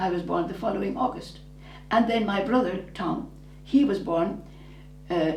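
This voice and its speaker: A woman with a southern Irish accent talks at a moderate pace with lively intonation and long, frequent pauses. Noticeable background noise and audible room echo fill the recording. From southern Ireland, rural. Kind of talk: interview about her life. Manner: halting, with false starts.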